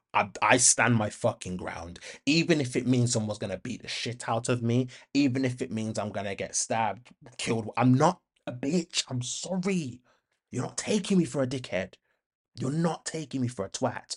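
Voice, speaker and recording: Against a quiet background, a man with a medium pitch speaks at a moderate pace, somewhat breathy, with an animated tone and lively intonation. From Birmingham, England (Handsworth). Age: 30s. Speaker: podcast host. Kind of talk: casual monologue.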